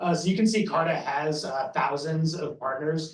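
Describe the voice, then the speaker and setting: Someone with an American accent speaks at a moderate pace, with audible room echo. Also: man. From United States. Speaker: sales lead at a software company. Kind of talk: sponsor presentation.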